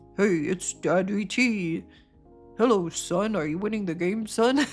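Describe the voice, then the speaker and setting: A put-on character voice, female-sounding and middle in pitch, at a fairly slow pace over faint music in the background. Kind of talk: casual, parental. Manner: warm, fatherly, gently teasing.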